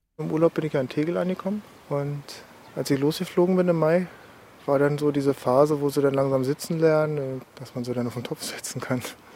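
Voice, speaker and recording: Against noticeable background noise, a man speaks at a fairly quick pace in a fairly high pitch with ordinary pitch variation. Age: 30s. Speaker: ex-soldier, now student. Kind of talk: testimony.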